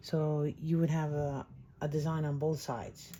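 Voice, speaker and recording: A soft-spoken woman's very deep, low voice, dark and mellow, somewhat breathy, in a monotone, flat delivery. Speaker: crafting channel host. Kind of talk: craft tutorial. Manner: halting.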